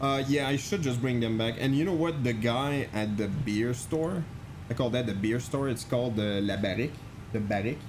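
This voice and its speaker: In a room with audible echo, a man talks at a moderate pace and medium pitch, with ordinary pitch variation and very even loudness. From Quebec, French Canadian. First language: French. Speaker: flight sim streamer. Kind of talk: live stream chat. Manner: casual, halting with many fillers.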